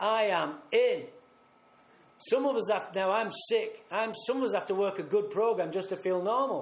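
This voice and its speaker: A man with a Mancunian accent and a high pitch, at a moderate pace with very even loudness, in audible room echo. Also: ordinary pitch variation. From northern England, Manchester. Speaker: recovery speaker. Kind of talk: recovery talk at a retreat. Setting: retreat talk with audience. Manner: animated.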